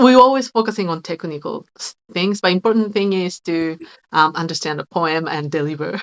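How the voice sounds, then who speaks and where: With a Japanese accent, a woman speaks at a moderate pace in a fairly low pitch, her intonation lively and her loudness swinging widely. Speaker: shigin singer and teacher. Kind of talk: casual chat. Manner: halting.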